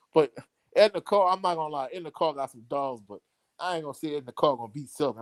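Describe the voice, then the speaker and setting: Here a man talks at a fairly quick pace with a strong Louisiana accent. The sound is dry and close with no echo, on a very clean recording with a silent background. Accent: thick Louisiana. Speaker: sports commentator. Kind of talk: live stream chat.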